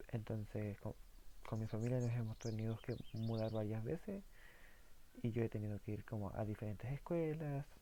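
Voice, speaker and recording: Using a dark, mellow tone and a Chilean accent, a man speaks at medium pitch and a moderate pace, with ordinary pitch variation and very even loudness. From southern Chile. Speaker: philosophy YouTuber. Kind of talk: casual monologue. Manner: halting, many fillers.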